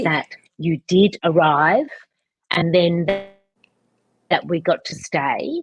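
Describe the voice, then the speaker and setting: A woman with a fairly low, somewhat breathy voice talks at a very slow pace with long, frequent pauses and ordinary pitch variation, the sound dry and close with no echo. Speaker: podcast host. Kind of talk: interview question. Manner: casual, conversational.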